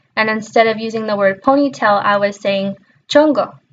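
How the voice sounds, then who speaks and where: A woman's fairly high voice with ordinary pitch variation, at a moderate pace. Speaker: education student. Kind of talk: personal introduction monologue. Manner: casual, some hesitations and self-corrections.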